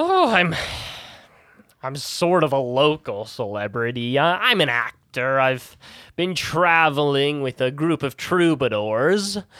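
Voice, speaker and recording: Somewhat unhurried speech from a man performing a character voice. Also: fairly high pitch for a man. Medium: actual play. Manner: gushing, stammering.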